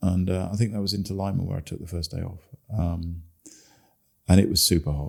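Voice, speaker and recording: The man, with an English accent, has a very deep, low pitch and fairly even intonation, moving at a fairly quick pace. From England. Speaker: long-distance cyclist. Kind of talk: interview. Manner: hesitant, many fillers.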